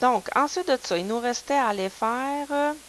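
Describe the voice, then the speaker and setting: A woman speaks with a Quebec accent at a fairly slow pace. Background noise is noticeable. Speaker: math teacher. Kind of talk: lecture. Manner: casual, conversational.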